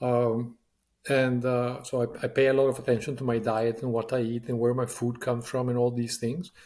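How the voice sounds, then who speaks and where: A man with a medium pitch and a dark, mellow tone speaks in a monotone, flat intonation. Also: fairly quick pace. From Latin America. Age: 60s. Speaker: business leader. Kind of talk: interview. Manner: halting, many fillers.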